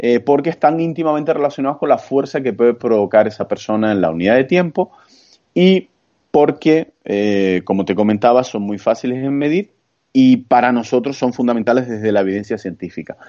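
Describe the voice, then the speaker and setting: With lively intonation and a fairly quick pace, a man uses an ordinary speaking voice at a medium pitch. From Canary Islands (Santa Cruz de Tenerife). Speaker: strength training expert. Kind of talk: interview.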